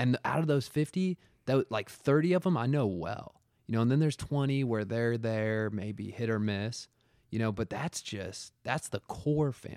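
With a plain, everyday voice, a man talks at a moderate pace with a medium pitch and lively intonation. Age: 30s. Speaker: podcaster in addiction recovery. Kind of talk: casual chat.

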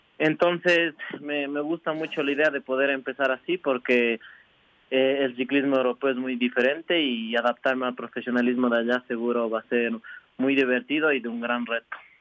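A man with a plain, everyday voice talks at medium pitch and a moderate pace, his intonation fairly even. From Ecuador, Imbabura (Ibarra). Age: 20s. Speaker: professional cyclist. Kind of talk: radio interview.

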